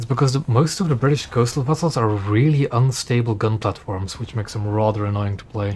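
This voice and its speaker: With hardly any pauses, a man talks at a fairly quick pace in a medium pitch, sounding somewhat breathy and using ordinary pitch variation. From Belgium. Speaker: gaming streamer. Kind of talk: casual gameplay commentary. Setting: live stream.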